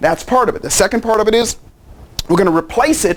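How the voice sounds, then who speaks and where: An animated man over noticeable background noise. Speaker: life coach and seminar speaker. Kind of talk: promotional pitch. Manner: fast.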